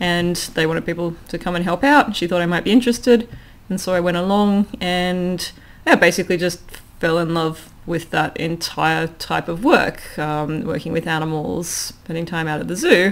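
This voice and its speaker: Speaking at a moderate pace with ordinary pitch variation, a woman with an Australian accent has a fairly low pitch. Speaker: philosophy lecturer and former zookeeper. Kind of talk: casual interview conversation. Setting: recorded at home. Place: home room. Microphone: studio mic.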